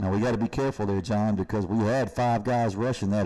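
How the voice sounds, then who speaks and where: A man with a Kentucky accent talks at a very fast pace and a fairly low pitch. His tone is dark and mellow, with fairly even intonation. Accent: Kentucky Southern US. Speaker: high school football commentator. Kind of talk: live commentary.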